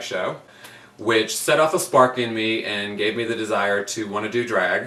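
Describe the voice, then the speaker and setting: A man speaks at a moderate pace and a medium pitch, with noticeable background noise behind him. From Virginia, US (Virginia Beach). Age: 30s. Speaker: drag queen. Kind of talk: audition video monologue.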